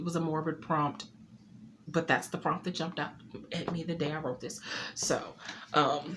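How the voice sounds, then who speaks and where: A woman talks at a moderate pace in a very deep, low pitch and a monotone, flat intonation. Her voice is shaky, broken by long, frequent pauses. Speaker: poet and author. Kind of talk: casual talk to camera. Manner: slightly shaky.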